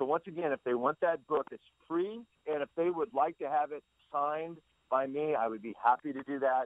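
A man talks at a fairly high pitch with ordinary pitch variation. His is a normal speaking voice. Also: fairly quick pace. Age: 60s. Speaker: pitching trainer and baseball consultant. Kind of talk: interview.

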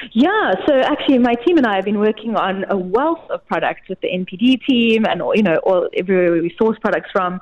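A woman at a medium pitch and fairly quick pace, with lively intonation and noticeable background noise. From South Africa. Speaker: retail content manager. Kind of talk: product promotion chat.

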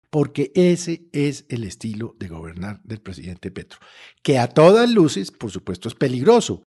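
A man's somewhat breathy voice, dark and mellow in tone, with very wide pitch swings. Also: medium pitch for a man, moderate pace, big swings in loudness. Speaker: political commentator. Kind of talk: political commentary. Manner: animated.

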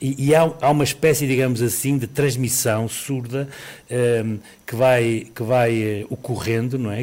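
A man talks at a fairly slow pace with medium pitch and fairly even intonation. He has a plain, everyday voice. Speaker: epidemiologist. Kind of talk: expert radio interview. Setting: live remote interview.

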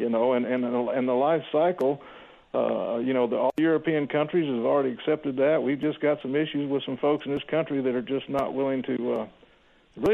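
In a Texan accent, a man speaks with a fairly high pitch and fairly even intonation. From Texas, Houston. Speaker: logging industry representative. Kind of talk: radio interview.

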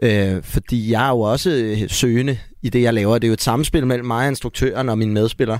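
With a plain, everyday voice, a man talks at a medium pitch and fairly even intonation. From Denmark, Gladsaxe near Copenhagen. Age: 30s. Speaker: actor. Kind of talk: casual chat.

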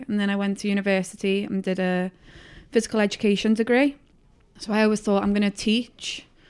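A woman with a Liverpool accent, medium pitch, monotone delivery and a fairly quick pace, in a very clean recording with a silent background. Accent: Liverpool (Scouse) English. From northern England, Liverpool. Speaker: youth soccer coach. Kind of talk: casual interview.

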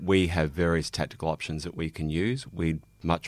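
With an Australian accent, the speaker keeps a fairly even intonation in a very clean recording with a silent background. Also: man. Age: 40s. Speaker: police officer. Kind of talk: casual chat.

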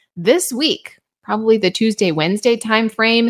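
Heard on a very clean recording with a silent background, a woman talks at a moderate pace in an ordinary speaking voice with a medium pitch. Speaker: weather forecaster podcast host. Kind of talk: weather forecast briefing. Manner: upbeat, friendly.

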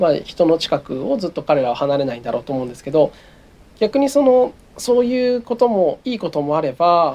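With very wide pitch swings, a man talks at a high pitch. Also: moderate pace, big swings in loudness. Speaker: wildlife photographer. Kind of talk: interview. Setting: remote recording.

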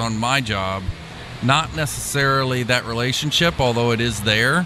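A man at medium pitch speaks at a moderate pace with ordinary pitch variation. Noticeable background noise is present. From Kentucky, Louisville. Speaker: NASCAR crew chief. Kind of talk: radio interview.

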